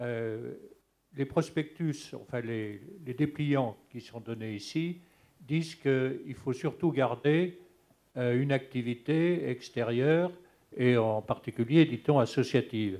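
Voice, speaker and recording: Speaking at a very slow pace, this voice has a dark, mellow tone, ordinary pitch variation and big swings in loudness. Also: man, medium pitch for a man. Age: 70s. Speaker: audience member with Parkinson's. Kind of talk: audience question. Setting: conference hall, handheld microphone. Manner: halting.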